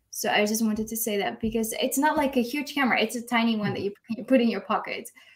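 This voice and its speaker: A woman with a Dutch accent and a fairly high pitch. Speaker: newborn photographer. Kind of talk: live video chat interview. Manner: hesitant, many fillers.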